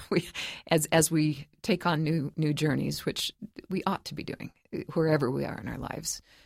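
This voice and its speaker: In a very clean recording with a silent background, a woman with a very deep, low pitch and vocal fry speaks at a moderate pace while her loudness swings widely. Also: ordinary pitch variation. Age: 60s. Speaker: professor of creative writing and author. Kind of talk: interview.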